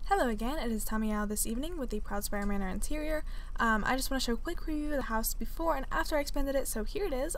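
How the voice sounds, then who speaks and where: Over audible room echo, a woman talks at a very fast pace. Her pitch is high and her intonation lively. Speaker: gaming video creator. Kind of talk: casual gameplay commentary. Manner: many filler words.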